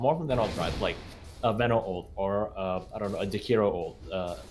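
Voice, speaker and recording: Over music in the background, a man with a fairly low pitch talks at a fairly quick pace. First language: not English. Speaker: esports caster. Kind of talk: live commentary.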